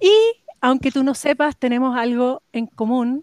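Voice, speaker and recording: Against a quiet background, a woman talks at a moderate pace with a dry, close sound and no echo. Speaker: podcast host, vegetable grower. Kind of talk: casual interview.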